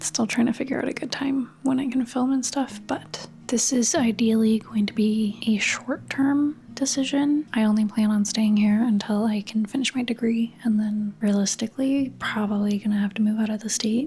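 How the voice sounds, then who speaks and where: The speech is whispered. There are hardly any pauses. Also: moderate pace. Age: 30s. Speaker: lifestyle and art vlogger. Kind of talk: casual vlog chat. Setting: home, bedroom. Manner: whispery.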